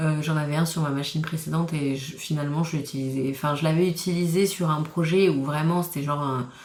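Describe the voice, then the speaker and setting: Audible room echo surrounds a woman with a very deep, low pitch. She speaks at a moderate pace in a monotone, flat intonation. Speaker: crafting vlogger. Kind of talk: casual vlog talk. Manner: hesitant, many fillers.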